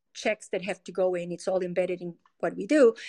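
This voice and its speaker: A woman with a Spanish accent talks at a medium pitch with fairly even intonation, her dry, close sound free of echo against a quiet background. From Colombia. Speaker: tech company product executive. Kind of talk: interview.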